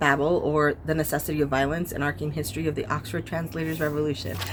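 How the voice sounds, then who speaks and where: Quiet and at a very fast pace, a woman talks in a very deep, low pitch with ordinary pitch variation. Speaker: book youtuber. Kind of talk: casual vlog chat. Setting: outdoors. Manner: quiet, talking low.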